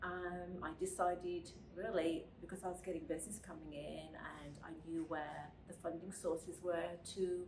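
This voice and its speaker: A woman with a fairly low pitch speaks at a moderate pace in a monotone, flat intonation, her loudness swinging widely. Noticeable background noise and audible room echo fill the recording. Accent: British. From Britain. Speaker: podcast co-host, finance lender. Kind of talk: casual chat.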